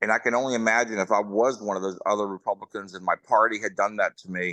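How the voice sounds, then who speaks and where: A man with an American accent speaks at a moderate pace and fairly low pitch, his tone bright and sharp, in a dry, close sound with no echo against a quiet background. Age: 60s. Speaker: political candidate. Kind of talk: candidate forum speech.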